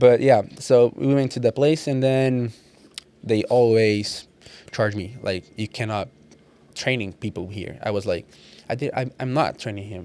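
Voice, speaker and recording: A dark, mellow tone in a Portuguese accent, with ordinary pitch variation, big swings in loudness and long, frequent pauses. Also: man, medium pitch for a man, fairly slow pace. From Brazil. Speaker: personal trainer. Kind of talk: casual podcast interview. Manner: halting, repeating words.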